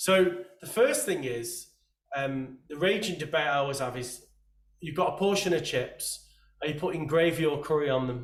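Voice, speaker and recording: An English accent at a moderate pace. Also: man, fairly high pitch for a man, ordinary pitch variation. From England. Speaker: podcast host. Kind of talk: casual interview chat.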